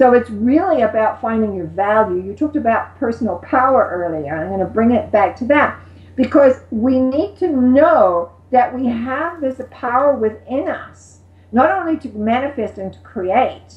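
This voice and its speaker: A woman with a high pitch speaks at a moderate pace with lively intonation and big swings in loudness, over noticeable background noise. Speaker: metaphysical teacher. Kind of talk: interview answer.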